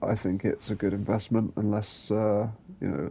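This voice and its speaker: A man speaks in a relaxed tone. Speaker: gaming youtuber. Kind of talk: game review voiceover. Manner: relaxed, low-energy; hesitant, many fillers.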